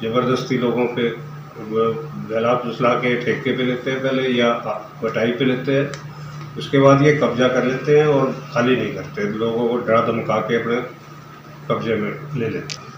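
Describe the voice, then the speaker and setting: Long, frequent pauses from a man with fairly even intonation, plus noticeable background noise and audible room echo. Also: medium pitch for a man. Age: 70s. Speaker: assault victim, elderly landowner. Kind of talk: news interview.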